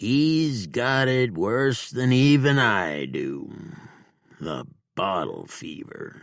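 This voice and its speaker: A man puts on a character voice at a medium pitch, talking very slowly with lively intonation. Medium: read story. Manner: slow, self-reproaching.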